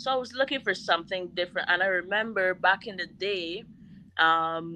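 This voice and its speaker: A woman speaks at a moderate pace in a medium pitch. Her pitch varies in an ordinary way. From Barbados. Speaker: chef and caterer. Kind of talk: interview.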